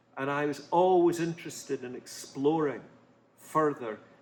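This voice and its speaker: Noticeable background noise sits behind a man whose moderate pace comes with ordinary pitch variation. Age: 70s. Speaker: author. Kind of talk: interview answers. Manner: halting.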